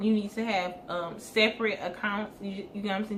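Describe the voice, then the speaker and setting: A woman speaks with a normal speaking voice at a fairly high pitch. Her intonation stays fairly even. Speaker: hair business owner and vlogger. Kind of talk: casual advice talk to camera.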